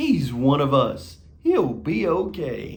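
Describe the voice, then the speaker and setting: A man in a put-on character voice talks very slowly at a fairly high pitch. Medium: read story. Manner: haughty.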